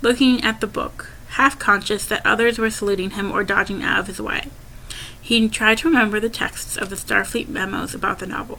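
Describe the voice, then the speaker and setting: Over noticeable background noise, a woman speaks at a fairly quick pace in a fairly high pitch with ordinary pitch variation. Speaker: amateur audiobook narrator. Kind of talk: audiobook reading. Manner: stuttering, occasional disfluent restarts.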